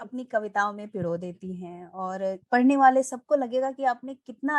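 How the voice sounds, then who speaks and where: The woman has an unremarkable speaking voice with ordinary pitch variation. Her pitch sits fairly high. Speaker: podcast host. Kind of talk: interview questions.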